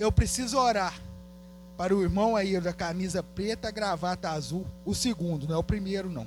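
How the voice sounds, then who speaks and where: This man's pitch is high, with ordinary variation. He talks at a moderate pace. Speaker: guest preacher. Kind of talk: altar call and prayer ministry; sermon. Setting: church service.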